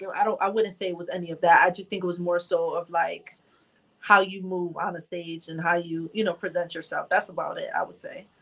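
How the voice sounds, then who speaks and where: A woman's medium-pitched voice in an American accent, fairly quick and in a monotone, flat intonation. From Bridgeport, Connecticut. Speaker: rapper. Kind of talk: casual chat.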